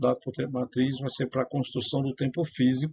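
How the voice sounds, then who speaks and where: A man's somewhat breathy voice at a medium pitch. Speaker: self-styled priest and religious writer. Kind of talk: religious teaching monologue. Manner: hesitant, many fillers.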